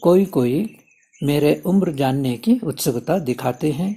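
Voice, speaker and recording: A man talks with fairly high pitch and lively intonation. His tone is dark and mellow. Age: 70s. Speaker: spiritual teacher. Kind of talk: spiritual talk. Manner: formal.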